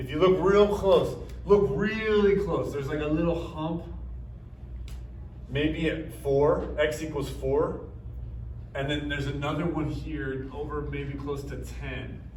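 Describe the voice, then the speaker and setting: Amid noticeable background noise and audible room echo, a man speaks at a fairly slow pace with long, frequent pauses. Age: 30s. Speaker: math teacher. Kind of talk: lecture.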